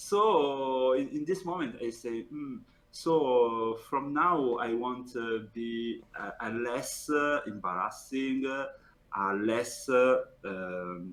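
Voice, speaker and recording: A man with an Italian accent, medium pitch, lively intonation and a very slow pace. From Italy. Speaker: professional card game player. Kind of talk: interview. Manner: halting.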